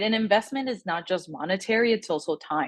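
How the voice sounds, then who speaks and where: Here a woman speaks at a medium pitch. She has a Spanish accent. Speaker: communications director at an advocacy group, interviewee. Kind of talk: interview answer to a class group. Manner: conversational with many fillers.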